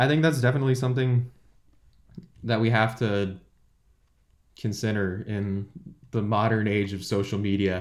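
Speaking with a Californian accent, a man with a fairly low pitch leaves long, frequent pauses. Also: fairly even intonation, moderate pace. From California, San Jose. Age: 20s. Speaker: student podcast co-host. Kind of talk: casual chat.

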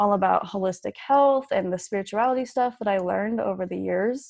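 A woman with a plain, everyday voice, an American accent, medium pitch and ordinary pitch variation. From Utah. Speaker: author and podcaster. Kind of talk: interview, personal story.

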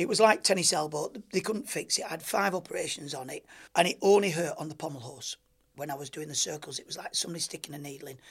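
He speaks with a Lancashire accent at a very fast pace. His pitch variation is ordinary. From rural Lancashire, northern England. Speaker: former Olympic gymnast. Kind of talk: interview.

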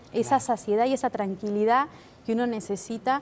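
This woman talks fairly quickly, her pitch moving in an ordinary way. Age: 50s. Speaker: weight-loss patient. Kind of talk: testimony.

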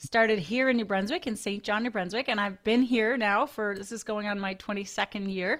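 This woman has a bright, sharp tone and fairly even intonation. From Newfoundland, Canada. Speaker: dentist. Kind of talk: casual interview.

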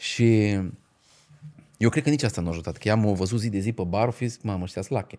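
A man speaks with a dark, mellow tone and ordinary pitch variation, leaving long, frequent pauses. The recording is very clean, with a silent background. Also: fairly low pitch for a man, fairly quick pace. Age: 40. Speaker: stand-up comedian. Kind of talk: casual chat. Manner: halting, many filler sounds.

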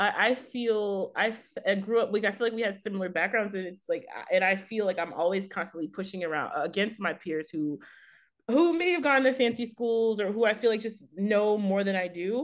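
Against a quiet background, a woman with an American accent and an unremarkable speaking voice talks at a medium pitch and a fairly quick pace, her intonation lively. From Texas, Fort Worth. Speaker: art writer and editor. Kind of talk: interview.

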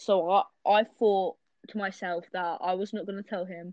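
Fairly even intonation in a woman's medium-pitched voice. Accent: British. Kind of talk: casual chat.

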